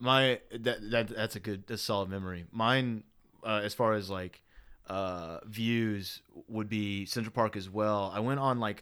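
Speaking in a Southern US accent, a man uses a fairly low pitch, fairly even intonation, and a fairly slow pace. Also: very clean recording, silent background. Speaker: podcast host. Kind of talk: casual chat.

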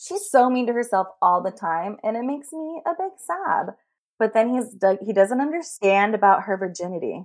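A woman speaks with an American accent. Her fairly high voice makes very wide pitch swings. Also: moderate pace. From US West Coast (San Francisco Bay Area). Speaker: podcast guest, romance fan. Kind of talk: casual chat.

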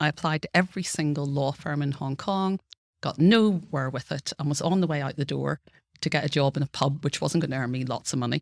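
A woman with a Northern Irish accent talks at a very fast pace in a very deep, low voice, with ordinary pitch variation and a dry, close sound with no echo. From Northern Ireland. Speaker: law professor. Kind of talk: interview.

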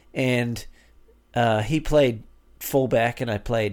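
A man at medium pitch, in a New Zealand accent, at a fairly slow pace. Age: 50s. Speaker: father of five. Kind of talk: casual chat.

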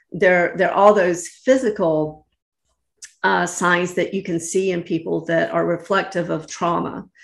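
Speaking with an American accent and vocal fry, a woman at a fairly low pitch keeps a fairly slow pace and fairly even intonation. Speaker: lawyer, real estate broker and life coach. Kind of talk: interview conversation. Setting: remote call.

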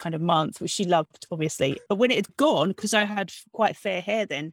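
A woman's ordinary speaking voice at medium pitch, with a dry, close sound with no echo and a very clean recording over a silent background. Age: 40s. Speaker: novelist. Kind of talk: casual interview. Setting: at home, bedroom.

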